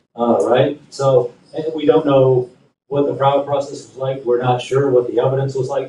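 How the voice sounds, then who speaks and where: At a fairly quick pace, the somewhat breathy voice carries on. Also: man. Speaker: panelist at a human rights conference. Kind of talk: conference panel presentation. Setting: conference room with audience and translator. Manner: fast.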